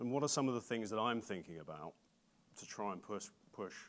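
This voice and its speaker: A man with an English accent talks at a fairly quick pace with lively intonation. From England. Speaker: bank data platform executive. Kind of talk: conference keynote talk.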